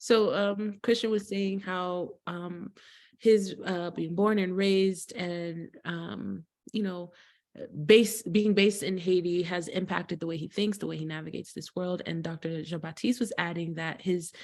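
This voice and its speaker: A plain, everyday voice from a woman at medium pitch, with fairly even intonation, big swings in loudness and a fairly slow pace. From US, Haitian household. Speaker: interpreter and psychology-trained co-host. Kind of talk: interpreting in a panel talk.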